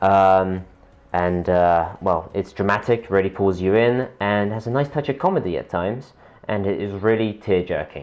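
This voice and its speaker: A man with a fairly low pitch talks at a moderate pace with ordinary pitch variation. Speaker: student radio host. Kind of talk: radio show. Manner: halting; casual.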